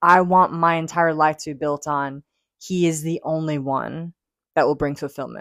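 With an unremarkable speaking voice, a woman talks at a fairly low pitch and moderate pace in a very clean recording with a silent background. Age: 20s. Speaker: podcast host. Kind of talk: casual chat.

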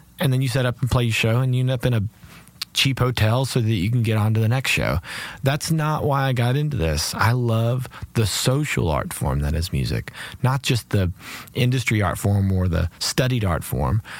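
A man of medium pitch speaks at a moderate pace with lively intonation and very even loudness over noticeable background noise. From Kentucky. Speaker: cellist and singer-songwriter. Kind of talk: casual interview chat. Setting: studio.

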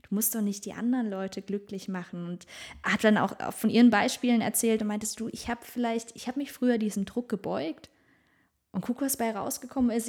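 A woman with an ordinary speaking voice, fairly high in pitch, with ordinary pitch variation and a fairly quick pace. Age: 30s. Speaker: podcast co-host. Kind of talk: casual chat.

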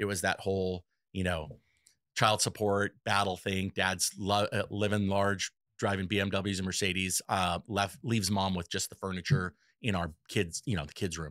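A man with an American accent and a very deep, low pitch talks at a moderate pace in a very clean recording with a silent background and a dry, close sound with no echo. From Los Angeles, California. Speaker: electrical contractor. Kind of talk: interview. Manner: animated.

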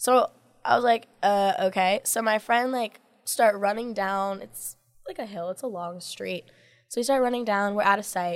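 A woman speaks at a medium pitch and moderate pace in a plain, everyday voice, with ordinary pitch variation. Her loudness swings widely on a very clean recording with a silent background. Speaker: dancer and model. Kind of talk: casual chat.

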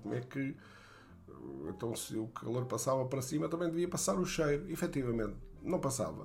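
Audible room echo surrounds a man with a medium pitch and vocal fry as he speaks at a moderate pace with lively intonation. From Portugal, Beira Baixa (Fundão). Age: 60s. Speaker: storyteller recounting his childhood. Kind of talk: memoir narration. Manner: halting, many fillers.

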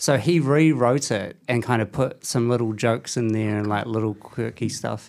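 On a very clean recording with a silent background, the speaker talks in a New Zealand accent at a moderate pace with ordinary pitch variation and hardly any pauses. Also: man, medium pitch for a man. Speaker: podcast host. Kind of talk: casual chat. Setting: studio.

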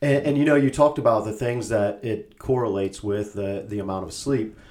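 A man with a plain, everyday voice, fairly even intonation and a moderate pace. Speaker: podcast co-host. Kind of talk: casual chat. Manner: laughs often.

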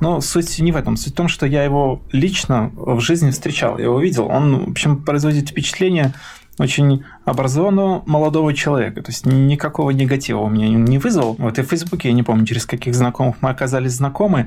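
A man rushes along at a very fast pace, his fairly high pitch showing ordinary pitch variation. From Belarus, Mogilev region village. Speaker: torture survivor, IT worker. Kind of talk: testimony. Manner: animated.

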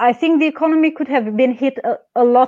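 At a moderate pace, a woman speaks in a Romanian accent. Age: young. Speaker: pharmacist and activist. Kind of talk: interview. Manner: halting.

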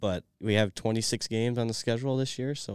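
A man with a Midwestern American accent, fairly low in pitch and fairly quick, on a very clean recording with a silent background and a dry, close sound with no echo. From Michigan. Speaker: college hockey player. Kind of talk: interview.

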